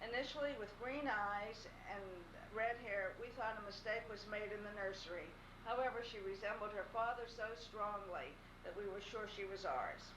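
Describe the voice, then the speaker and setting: With an American accent, a woman speaks at a moderate pace in a fairly high pitch with fairly even intonation, against noticeable background noise. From Pittsburgh, Pennsylvania. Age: 60s. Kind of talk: recorded farewell message read to camera.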